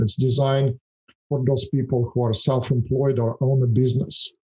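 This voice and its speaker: A man speaks with a Russian accent. His pitch is medium and his pace moderate. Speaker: financial services founder. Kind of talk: podcast interview. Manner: hesitant, many fillers.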